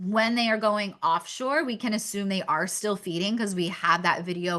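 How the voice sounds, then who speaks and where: Speaking at a moderate pace with a Pennsylvania accent, a woman has a bright, sharp tone, a medium pitch and ordinary pitch variation. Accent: Pennsylvania accent, noticeable. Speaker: shark conservation outreach speaker. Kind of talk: webinar presentation. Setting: video webinar.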